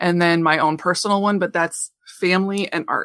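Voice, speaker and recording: In a Midwestern American accent, a woman speaks at a fairly low pitch with fairly even intonation, in a dry, close sound with no echo on a very clean recording with a silent background. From central Illinois. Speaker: craft artist and teacher. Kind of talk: interview.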